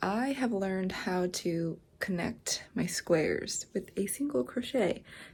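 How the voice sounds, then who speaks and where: Very slow, somewhat breathy delivery in a dark, mellow tone with very wide pitch swings. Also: woman. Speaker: crafting vlogger. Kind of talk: casual vlog talk. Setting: at home at night. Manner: soft-spoken.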